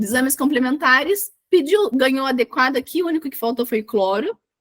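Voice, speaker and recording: Loud and high-pitched, a woman talks at a fairly quick pace with lively intonation and hardly any pauses. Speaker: medical exam tutor. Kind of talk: online tutorial.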